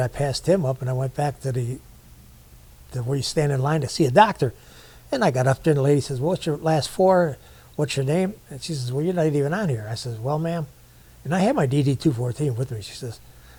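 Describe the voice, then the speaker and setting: Very fast speech from a man, somewhat breathy with a dark, mellow tone and ordinary pitch variation. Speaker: war veteran. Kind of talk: casual chat. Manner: colloquial storytelling.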